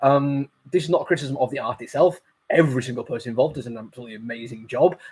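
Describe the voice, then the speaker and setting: Somewhat breathy and at a very fast pace, a man talks at a medium pitch with ordinary pitch variation and big swings in loudness. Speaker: comic book reviewer. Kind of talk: casual review monologue. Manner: hesitant, many fillers.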